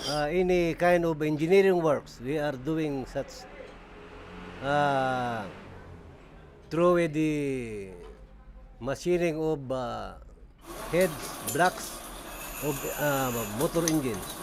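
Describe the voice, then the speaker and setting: Very slow delivery broken by long, frequent pauses. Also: man, fairly high pitch for a man, ordinary pitch variation. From Philippines. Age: 50s. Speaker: machinist. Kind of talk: documentary interview. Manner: halting.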